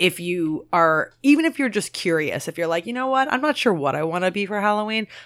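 With an American accent, a woman talks at a fairly quick pace with hardly any pauses, and her pitch swings very widely. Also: medium pitch for a woman. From Maryland. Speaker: podcast host. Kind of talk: casual chat.

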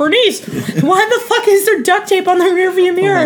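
Clear background noise sits behind a woman doing a put-on character voice. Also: moderate pace. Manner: gruff, irritated.

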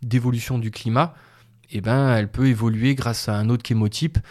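At a moderate pace, a man talks at a medium pitch with fairly even intonation, in a very clean recording with a silent background. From southern France, Montpellier area. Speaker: wild plant gatherer and herbal business owner. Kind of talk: interview. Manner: halting.

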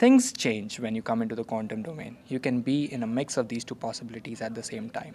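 Over noticeable background noise, a man talks at a very fast pace with hardly any pauses and fairly even intonation. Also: medium pitch for a man. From India (Calcutta). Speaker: PhD student in quantum computing. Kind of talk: interview. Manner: halting, many restarts.

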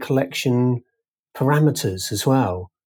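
On a very clean recording with a silent background, a man talks at a moderate pace in an ordinary speaking voice. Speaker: book cover art director.

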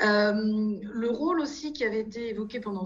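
Fairly high-pitched woman's voice amid noticeable background noise and audible room echo. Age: 50s. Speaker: financial regulation consultancy founder. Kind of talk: interview. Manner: halting, with frequent repetitions and hesitations.

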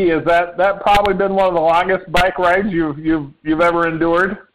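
A man's high pitch with a Midwestern US accent. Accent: US Midwest. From Indiana. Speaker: podcast host. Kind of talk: casual interview.

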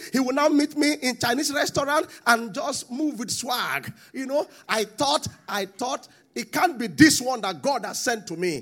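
With a Nigerian accent, a man speaks at an extremely high pitch with lively intonation at a moderate pace. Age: 40s. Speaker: pastor. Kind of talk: sermon.

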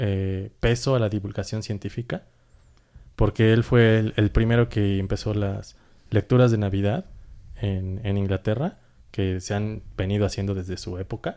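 At a moderate pace, a man speaks in a fairly low pitch with a dark, mellow tone on a very clean recording with a silent background. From Mexico. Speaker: podcast co-host. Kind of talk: casual chat.

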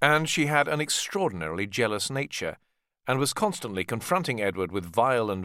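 On a very clean recording with a silent background, a man speaks at a fairly quick pace with a fairly bright tone and lively intonation.

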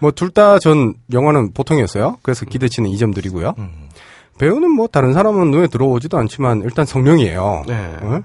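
A somewhat breathy man at medium pitch and a fairly quick pace, with very wide pitch swings. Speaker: podcast co-host. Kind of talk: casual banter podcast.

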